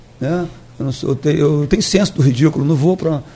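With a plain, everyday voice, a man speaks at a fairly quick pace and a fairly high pitch. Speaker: politician. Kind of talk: radio interview. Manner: casual, repetitive.

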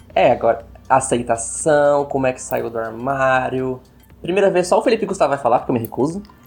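In an ordinary speaking voice, a man at medium pitch talks at a fairly quick pace with lively intonation. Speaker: podcast co-host. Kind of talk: casual chat.

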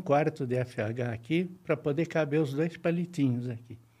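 Somewhat breathy and dark, mellow in tone, a man speaks at a fairly high pitch and a fairly slow pace with ordinary pitch variation. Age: 70s. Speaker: retired electronics engineer. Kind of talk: interview. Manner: halting, with frequent repetitions.

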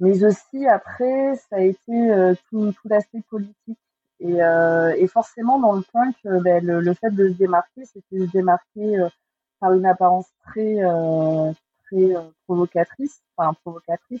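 Her pitch is medium, with ordinary pitch variation. The woman talks at a fairly slow pace. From southwest France, Agen. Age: 40s. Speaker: author and photographer. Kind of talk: casual interview. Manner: hesitant, many fillers.

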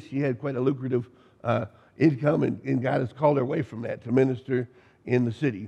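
Very fast speech from a man at a medium pitch, dark and mellow in tone, with vocal fry and fairly even intonation. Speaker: pastor. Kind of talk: sermon. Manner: halting, many fillers.

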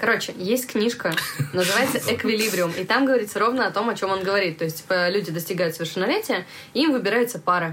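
A woman rattles along very fast while noticeable noise carries in the background. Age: 20s. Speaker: podcast host, coffee shop manager. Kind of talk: casual chat. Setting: studio.

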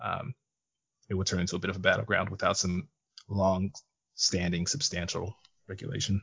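Using an American accent, a man with a very deep, low pitch talks at a moderate pace with ordinary pitch variation and long, frequent pauses. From US West, Las Vegas. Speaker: podcast guest. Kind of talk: casual political discussion.

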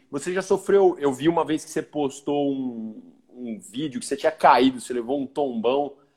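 A man with a plain, everyday voice at a fairly high pitch. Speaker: podcast host. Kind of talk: casual chat. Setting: video call.

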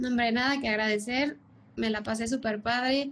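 Moderate pacing from a woman with a somewhat breathy voice, fairly high in pitch. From Mexico City. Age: 30s. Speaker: commercial airline pilot. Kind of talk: podcast interview.

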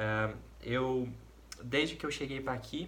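With fairly even intonation, a man speaks at a moderate pace amid audible room echo. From Brazil, interior of Paraná. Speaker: volunteer missionary. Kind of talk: personal testimony.

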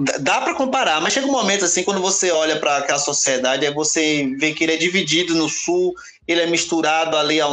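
Against noticeable background noise, a man with a fairly high pitch talks at a fairly quick pace, with very even loudness and hardly any pauses. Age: 40s. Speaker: podcast guest. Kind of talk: casual discussion.

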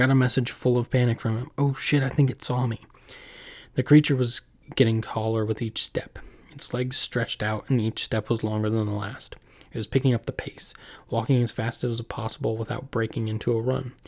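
A somewhat breathy man at medium pitch, monotone and flat, fairly quick, in a dry, close sound with no echo. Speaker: podcast host. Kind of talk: casual intro and outro chat, with scary stories read aloud in a spooky storytelling style. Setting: home recording, solo.

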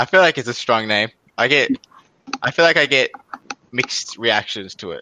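This man's voice sits at a medium pitch, with a bright, sharp tone and lively intonation at a moderate pace. He leaves long, frequent pauses, and the sound is dry and close with no echo. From Australia. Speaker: podcast host. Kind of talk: casual chat. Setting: video call. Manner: joking.

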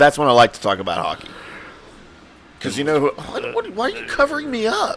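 A man's very fast speech broken by long, frequent pauses, over noticeable background noise. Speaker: podcast host. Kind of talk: casual chat. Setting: live stream. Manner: animated.

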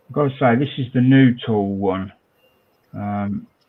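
A man with a British accent, medium pitch, ordinary pitch variation and a moderate pace. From Britain. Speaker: scale modelling podcast host. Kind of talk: casual chat.

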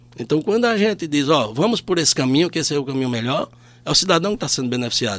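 The speaker is a man with a fairly high pitch. His pitch swings very widely. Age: 50s. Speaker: public auditor. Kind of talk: radio interview.

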